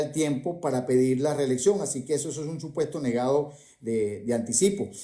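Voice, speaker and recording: A man with a fairly high pitch and a dark, mellow tone speaks with ordinary pitch variation. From Venezuela. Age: 60s. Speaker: economist. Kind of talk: debate.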